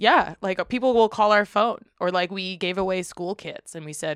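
A woman with an American accent speaks in an unremarkable speaking voice at medium pitch and a moderate pace, with ordinary pitch variation, in a dry, close recording with no echo and a quiet background. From Western Massachusetts (Springfield). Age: 30s. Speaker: community organization co-founder. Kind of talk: casual chat.

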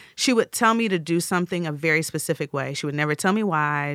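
Recorded very cleanly against a silent background, dry and close with no echo, a woman uses an ordinary speaking voice at a fairly low pitch with ordinary pitch variation. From US Midwest. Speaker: chef, food stylist and TV cooking presenter. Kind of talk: interview.

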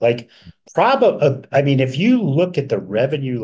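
Very wide pitch swings and vocal fry from a man. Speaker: podcast co-host, bookkeeper for pest industry. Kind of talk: casual business podcast chat. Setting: hotel room.

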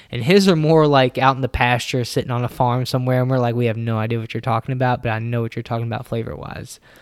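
Here a man talks at a very fast pace with hardly any pauses. His pitch is medium. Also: ordinary pitch variation. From Louisville, Kentucky. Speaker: distillery barrel curator. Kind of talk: casual interview.

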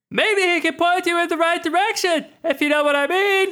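Pitched extremely high, this put-on character voice proceeds at a moderate pace. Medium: actual play. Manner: sly, insinuating.

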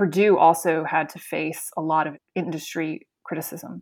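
With an American accent, a woman in an unremarkable speaking voice speaks at a fairly low pitch and fairly even intonation, in a very clean recording with a silent background. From US South (Florida), partly Spain. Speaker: animal welfare charity leader. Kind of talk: interview.

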